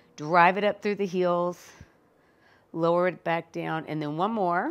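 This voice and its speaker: A woman with an unremarkable speaking voice, fairly low in pitch, at a fairly slow pace. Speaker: fitness instructor. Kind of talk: workout tutorial instruction.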